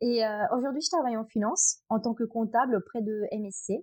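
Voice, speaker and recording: Dark and mellow in tone, the voice moves at a fairly quick pace with ordinary pitch variation, recorded dry and close with no echo. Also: woman. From Italy, Abruzzo. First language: Italian (speaking French). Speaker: trail runner. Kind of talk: podcast interview. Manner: hesitant, many fillers.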